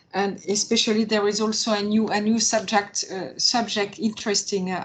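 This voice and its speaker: With a French accent, a woman speaks at medium pitch over noticeable background noise. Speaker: opera marketing manager. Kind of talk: webinar panel discussion. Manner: halting.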